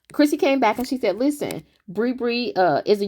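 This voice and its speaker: The recording is very clean with a silent background as a woman speaks at a fairly quick pace. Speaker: YouTube commentary creator. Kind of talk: casual commentary monologue. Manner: fast; animated.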